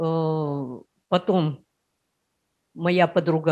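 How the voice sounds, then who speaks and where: A woman with a fairly low voice talks with ordinary pitch variation. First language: Udmurt (speaking Russian). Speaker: workshop participant. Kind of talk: personal story in group discussion.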